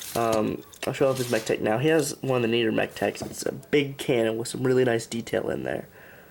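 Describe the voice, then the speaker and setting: Mumbling at a fairly quick pace with hardly any pauses, a man speaks at a medium pitch. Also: ordinary pitch variation. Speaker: toy reviewer. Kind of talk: product review. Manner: halting.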